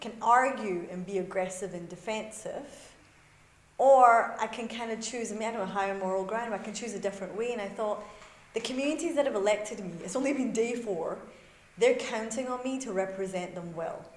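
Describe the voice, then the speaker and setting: The speaker talks at a fairly quick pace in a Scottish accent, with audible room echo. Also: woman, fairly high pitch for a woman, ordinary pitch variation. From Scotland, Glasgow. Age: young. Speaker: faith community leader. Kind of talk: lecture. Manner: conversational, with fillers.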